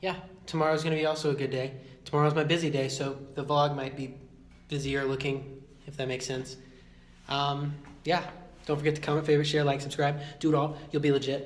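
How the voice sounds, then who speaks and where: The delivery is flat and monotone. It moves at a fairly quick pace. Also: man. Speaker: college vlogger. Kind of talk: casual vlog chat. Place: hall. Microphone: phone near.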